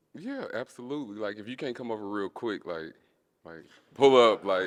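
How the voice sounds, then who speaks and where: Using a normal speaking voice, a man talks at a medium pitch and moderate pace, with ordinary pitch variation and big swings in loudness. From US South, Little Rock, Arkansas. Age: 30s. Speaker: dating show contestant. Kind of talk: casual chat.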